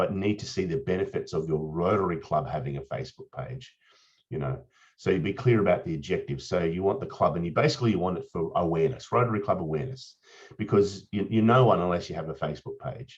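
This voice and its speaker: The speaker has an Australian accent and talks at a very fast pace. The intonation is lively. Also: man, fairly low pitch for a man. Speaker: Rotarian presenter on social media. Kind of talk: presentation. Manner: casual, with frequent fillers and repetitions.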